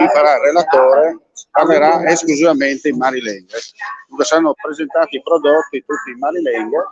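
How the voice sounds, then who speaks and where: A man with a normal speaking voice talks at a fairly high pitch and a fairly quick pace. The sound is dry and close, with no echo. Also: ordinary pitch variation. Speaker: live stream reporter. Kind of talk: live broadcast commentary. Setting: outdoors at a food festival stand.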